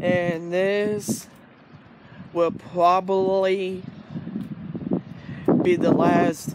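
A man speaks at a high pitch with a slightly mellow tone.

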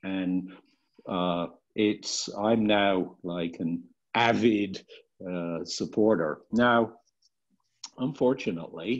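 Very slowly and with long, frequent pauses, a man with a British accent speaks in a very deep, low pitch against a quiet background. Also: ordinary pitch variation. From UK. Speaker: clean energy board member. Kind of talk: self-introduction at board retreat. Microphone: video call.

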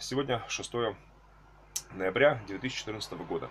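A man is speaking. Light background noise sits behind his voice. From Russia, Tula. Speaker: archbishop, clergyman. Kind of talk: video address to followers. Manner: halting, with fillers. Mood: earnest, preacher-like fervor. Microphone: webcam.

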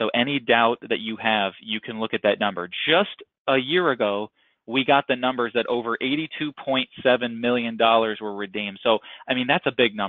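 A man's plain, everyday voice at a medium pitch, with ordinary pitch variation and a moderate pace. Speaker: insurance brokerage manager. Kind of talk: sales webinar presentation. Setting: webinar call.

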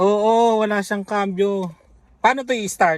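Ordinary pitch variation from a man with a high voice. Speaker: family vlogger. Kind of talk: casual vlog chat. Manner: animated.

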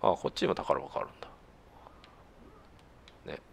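A man whispers at a very fast pace. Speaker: gamer doing let's play commentary. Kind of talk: casual game commentary.

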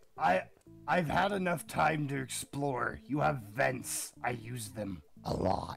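A man's put-on character voice, medium in pitch and very slow, with faint music in the background

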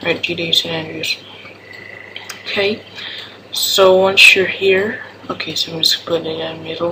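A non-native accent over noticeable background noise. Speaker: gaming tutorial maker. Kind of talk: casual screen-recorded tutorial.

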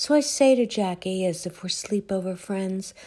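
The woman's voice is dark and mellow, somewhat breathy, at a medium pitch. She speaks at a fairly slow pace with lively intonation. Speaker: poet. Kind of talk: poetry reading, reflective and wry. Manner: measured, wry, deliberate pacing.

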